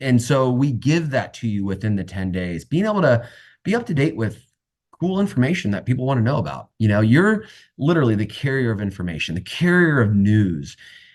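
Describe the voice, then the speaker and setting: Against a quiet background, a man speaks at a fairly quick pace in a medium pitch, his voice making very wide pitch swings. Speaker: real estate sales coach. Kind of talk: online coaching session. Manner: animated.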